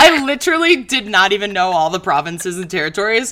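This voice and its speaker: This woman has an American accent and a fairly high pitch. She talks very fast against noticeable background noise. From Chicago. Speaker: comedian. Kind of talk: casual chat.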